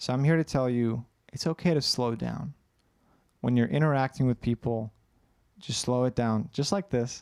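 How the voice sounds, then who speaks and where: With long, frequent pauses, a man of medium pitch talks at a moderate pace with ordinary pitch variation, his voice dry and close with no echo on a very clean recording with a silent background. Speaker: anxiety coach. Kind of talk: livestream Q&A.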